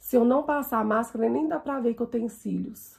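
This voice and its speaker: A woman talks at a moderate pace. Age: 40s. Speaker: makeup vlogger. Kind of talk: makeup tutorial. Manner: casual, chatty.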